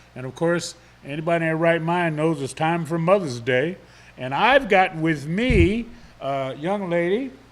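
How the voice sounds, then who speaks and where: A loud man speaks at a moderate pace with high pitch and lively intonation. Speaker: local TV morning show host. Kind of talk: live talk show interview.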